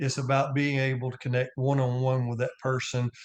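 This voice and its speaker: A man speaks at a medium pitch with a Southern US accent. The background is quiet. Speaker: real estate agent and house flipper. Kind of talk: podcast interview. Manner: repeats words, stammers.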